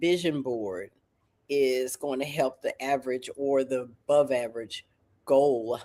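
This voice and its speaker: The speaker has a Southern US accent and an animated tone. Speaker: talk show host. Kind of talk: talk show interview. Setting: livestream.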